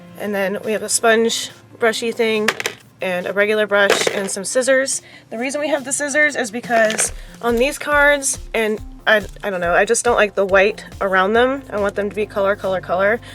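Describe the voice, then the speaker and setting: Music plays behind a woman's voice. Her pitch varies in an ordinary way. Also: fairly high pitch for a woman, moderate pace. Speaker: craft YouTuber. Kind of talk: casual DIY tutorial. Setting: at home on the floor.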